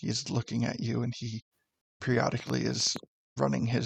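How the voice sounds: Over a quiet background, a natural reading voice carries the text.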